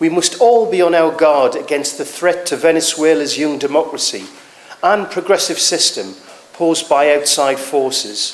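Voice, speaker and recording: Over noticeable background noise, a man with a northeast English accent speaks at a fairly high pitch. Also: ordinary pitch variation, moderate pace. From northeast England. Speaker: political speaker. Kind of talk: rally speech.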